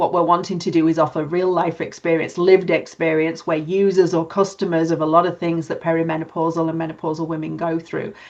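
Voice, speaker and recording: In a British accent, a woman with a fairly low pitch talks at a very fast pace with monotone, flat intonation. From UK. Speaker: podcast co-host, nurse and HR manager. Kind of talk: casual chat.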